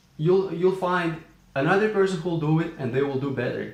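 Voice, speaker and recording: With a non-native accent, a man of fairly high pitch speaks in a room with audible echo and noticeable background noise. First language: not English. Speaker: entrepreneur vlogger. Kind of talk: casual vlog talk. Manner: hesitant with fillers.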